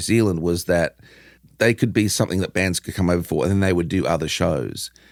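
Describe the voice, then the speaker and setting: A man talks with an Australian accent. His pitch is very deep and low. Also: very clean recording, silent background. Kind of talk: interview. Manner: casual, animated.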